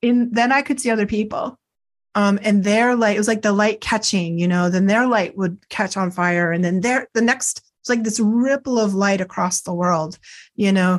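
A woman with a plain, everyday voice and an American accent speaks at a moderate pace and medium pitch, with ordinary pitch variation, very even loudness and a quiet background. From US Northeast, near Boston, Massachusetts. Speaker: psychic counselor and Reiki teacher. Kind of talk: interview.

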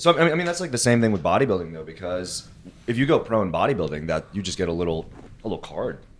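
With very wide pitch swings, a man of fairly low pitch talks at a very fast pace. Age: 20s. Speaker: fitness coach and content creator. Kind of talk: casual chat.

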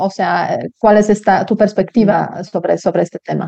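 Her intonation is flat and monotone. The woman speaks in a Polish accent. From Poland. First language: Polish (speaking Spanish). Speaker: podcast host. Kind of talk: interview. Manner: hesitant, many fillers.

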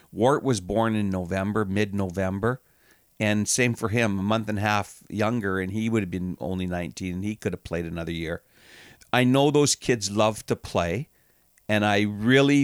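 A man's plain, everyday voice, fairly low in pitch, at a moderate pace in a very clean recording with a silent background and a dry, close sound with no echo. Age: 60s. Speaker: hockey team general manager and owner. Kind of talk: casual interview.

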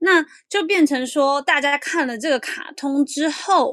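Very slow speech with lively intonation and a bright, sharp tone on a very clean recording with a silent background. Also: woman. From Taiwan. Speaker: columnist living in Japan. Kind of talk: interview.

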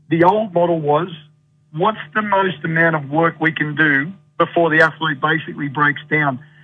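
At a moderate pace, a man with an Australian accent and a fairly high pitch speaks with fairly even intonation. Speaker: sports coach consultant and speaker. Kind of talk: radio interview chat. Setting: phone call from Ireland.

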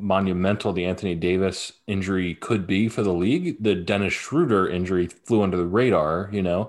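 A man with an ordinary speaking voice talks at a fairly low pitch and a moderate pace. He leaves hardly any pauses. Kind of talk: casual sports banter. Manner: laid-back, joking, casual.

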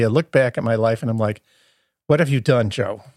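Recorded very cleanly against a silent background, a man with an American accent speaks with ordinary pitch variation in a dry, close sound with no echo. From US Midwest, Chicago area. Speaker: hospice chaplain, podcast co-host. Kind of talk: interview about his life. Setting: studio.

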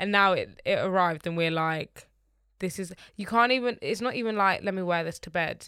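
A woman with a London accent, medium in pitch with ordinary variation, bright and sharp in tone, at a fairly quick pace, in a very clean recording with a silent background. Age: 20s. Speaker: podcast co-host. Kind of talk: casual chat.

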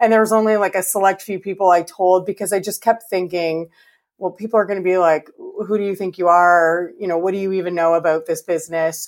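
Speaking in a Canadian accent, a woman goes at a very fast pace. Her pitch is medium and her intonation fairly even. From Canada. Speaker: interior designer. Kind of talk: interview.

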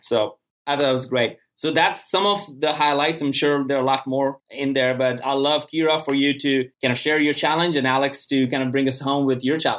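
Medium in pitch, a man speaks in a plain, everyday voice at a fairly quick pace. His intonation stays fairly even. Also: hardly any pauses. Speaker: podcast host. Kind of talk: interview. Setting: video call.

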